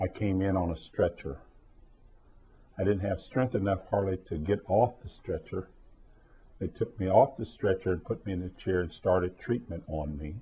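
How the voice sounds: At a moderate pace, a man talks with a low pitch and ordinary pitch variation. His tone is dark and mellow, with a slightly husky edge.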